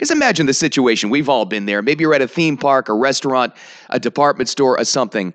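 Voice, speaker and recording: A man's animated, medium-pitched voice. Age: 40s. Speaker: podcast host and morning radio host. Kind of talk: casual monologue.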